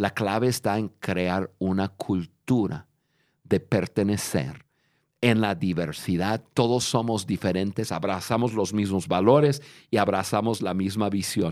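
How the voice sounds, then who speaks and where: In a very clean recording with a silent background, a man talks at a fairly slow pace with a fairly low pitch and ordinary pitch variation. It is an ordinary speaking voice. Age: 50s. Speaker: leadership podcast host. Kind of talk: casual chat. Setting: studio.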